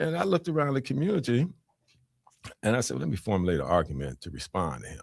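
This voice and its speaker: A man with vocal fry, very fast, with long, frequent pauses, big swings in loudness and very wide pitch swings. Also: fairly low pitch for a man. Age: 70s. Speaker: retired judge. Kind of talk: panel discussion. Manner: halting.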